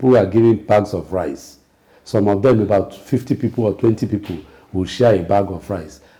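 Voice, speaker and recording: In a dark, mellow, somewhat breathy voice of fairly low pitch, a man speaks at a moderate pace with ordinary pitch variation. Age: 60s. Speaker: political commentator. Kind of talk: political talk show discussion. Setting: TV studio.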